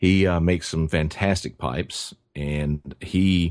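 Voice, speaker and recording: In a Tennessee accent, a man with a very deep, low pitch speaks with fairly even intonation. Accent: Southern US (Tennessee). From West Tennessee, US South. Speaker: pipe maker. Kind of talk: interview. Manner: halting, many fillers and repeats.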